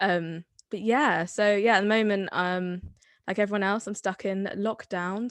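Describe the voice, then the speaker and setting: Someone speaks fairly slowly in a Somerset accent with fairly even intonation. The sound is dry and close with no echo, over a quiet background. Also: woman. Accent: Somerset accent, adopted later. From Somerset, England (Bath). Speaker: drama student. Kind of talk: casual chat.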